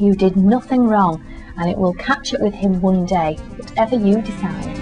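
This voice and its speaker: A woman at medium pitch with ordinary pitch variation and a moderate pace, music in the background. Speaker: voice-over artist and agony aunt / life coach. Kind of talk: agony aunt advice reading.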